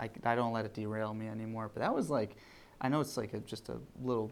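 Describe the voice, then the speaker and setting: Soft-spoken and medium in pitch, a man talks at a fairly quick pace with monotone, flat intonation. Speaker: gym owner and coach. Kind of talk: podcast interview answer.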